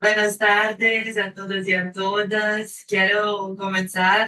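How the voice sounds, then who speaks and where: A woman speaks at a medium pitch in a Brazilian accent, her tone bright and sharp. Her intonation stays flat and monotone. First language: Portuguese (speaking Spanish). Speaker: panel speaker, researcher. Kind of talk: academic presentation.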